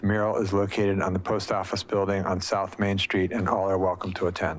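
Here a man with an American accent speaks at a fairly quick pace. His fairly low voice has monotone, flat intonation. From US Pacific Northwest. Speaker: mayor chairing city council meeting. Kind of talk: formal meeting chairing. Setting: city hall chambers, also by video conference. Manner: formal. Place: meeting room. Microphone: podium.

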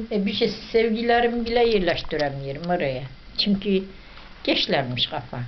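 A woman in an Ahiska accent at a moderate pace, with very wide pitch swings and light background noise. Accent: Ahiska Turkish dialect. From northeastern Turkey. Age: old. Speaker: videomaker's mother. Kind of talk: casual family chat. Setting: at home. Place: home room. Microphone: camera far.

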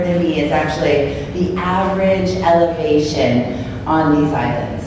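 A woman speaks over noticeable background noise. Her voice carries a strong room echo. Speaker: former Peace Corps volunteer and career coach. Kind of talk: presentation talk. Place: hall. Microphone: camera far.

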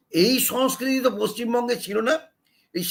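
With ordinary pitch variation, a man talks in an extremely high voice. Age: 70s. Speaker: political commentator. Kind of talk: opinion monologue.

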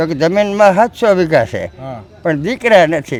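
The man's voice sits high in pitch. Its variation in pitch is ordinary. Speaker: village elder devotee. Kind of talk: storytelling interview.

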